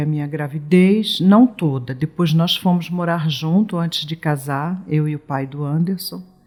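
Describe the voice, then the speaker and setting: With music in the background, a woman speaks at a very slow pace in a very deep, low pitch. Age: 60s. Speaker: mother of missing person, retired nursing technician. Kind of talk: testimony interview. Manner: halting, self-correcting.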